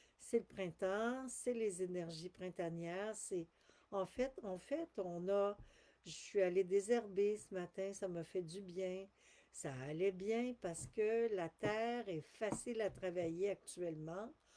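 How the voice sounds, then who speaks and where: A woman in a Quebec accent at a very slow pace, medium pitch, ordinary pitch variation. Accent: Québécois French. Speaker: spiritual channeler. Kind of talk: live stream talk. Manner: halting.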